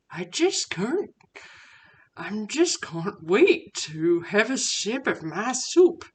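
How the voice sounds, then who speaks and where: A woman performs a cartoonish character voice at a very slow pace. Her fairly high pitch makes very wide swings. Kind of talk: puppet cooking show. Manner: excited, upbeat.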